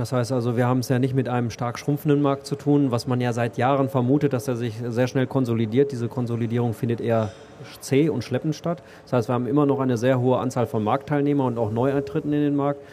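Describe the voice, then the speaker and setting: The speech comes at a very fast pace. Its intonation is monotone and flat. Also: man, medium pitch for a man. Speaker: IT company executive. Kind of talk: interview. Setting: stage at a trade fair. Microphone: old poor microphone.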